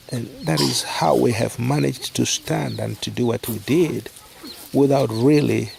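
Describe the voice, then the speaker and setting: A man speaks with a non-native accent at a very slow pace. Noticeable background noise is present. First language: not English. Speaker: charity worker. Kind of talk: casual talk to camera.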